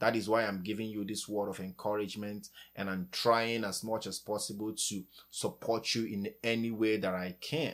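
The recording is very clean, with a silent background. A man with a plain, everyday voice speaks at a moderate pace in a fairly low pitch with ordinary pitch variation. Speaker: podcast host. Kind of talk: encouraging talk ending in fervent prayer. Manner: earnest, warm, fervent; heartfelt, pleading.

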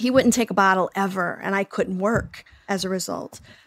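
At a fairly quick pace, a woman with an American accent and a normal speaking voice shows ordinary pitch variation in a dry, close sound with no echo. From Oklahoma, US. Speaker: psychotherapist and podcast host. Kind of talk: interview conversation.

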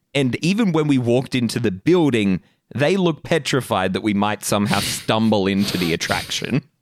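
With an Australian accent, a man speaks at a medium pitch and a fairly quick pace. His pitch swings very widely. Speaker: podcast co-host. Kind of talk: casual chat.

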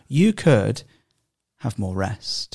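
A man speaks at a very slow pace with a somewhat breathy, dark, mellow tone. The sound is dry and close with no echo. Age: 30s. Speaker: podcast host. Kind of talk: casual chat. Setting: studio.

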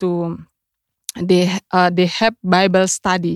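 A woman speaks in a very clean recording with a silent background. The sound is dry and close, with no echo. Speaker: missionary. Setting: studio. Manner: halting, simple English.

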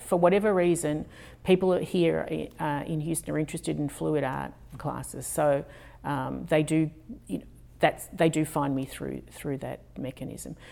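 With an Australian accent, a woman talks rather slowly. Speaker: fluid artist. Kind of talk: interview.

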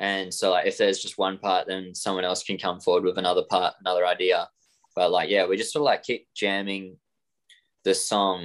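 A man with an Australian accent at a fairly quick pace. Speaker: rock guitarist. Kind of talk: casual interview chat.

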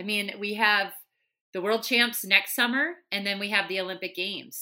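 Speaking at a moderate pace with a strong Minnesotan accent, a woman has a bright, sharp tone on a very clean recording with a silent background. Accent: thick Minnesotan. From Minnesota, US. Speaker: Olympian runner and broadcaster. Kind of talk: interview, casual chat.

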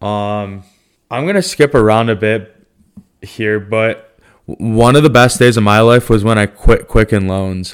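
On a very clean recording with a silent background, a man with a normal speaking voice speaks at a fairly slow pace, with medium pitch and fairly even intonation. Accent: American. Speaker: podcast co-host. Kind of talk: casual chat. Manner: playful, joking.

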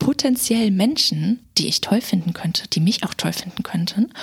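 Lively intonation over noticeable background noise. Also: woman. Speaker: podcast guest co-host. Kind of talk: casual chat.

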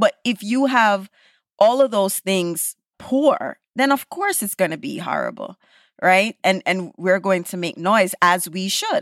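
Speaking with a Caribbean accent and lively intonation, a woman comes through in a dry, close sound with no echo on a very clean recording with a silent background. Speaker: executive producer and podcaster. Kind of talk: casual chat.

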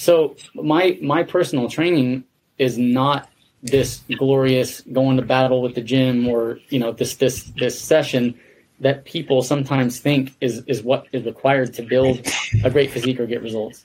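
A man with an ordinary speaking voice and fairly even intonation. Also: medium pitch for a man, moderate pace. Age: 40s. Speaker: podcast host. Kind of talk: interview.

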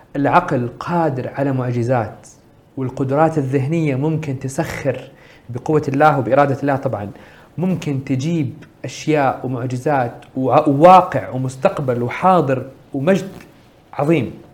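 A man's fairly high voice, somewhat breathy, with normal rises and falls in pitch. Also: fairly slow pace. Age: 30s. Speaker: social entrepreneur. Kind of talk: interview.

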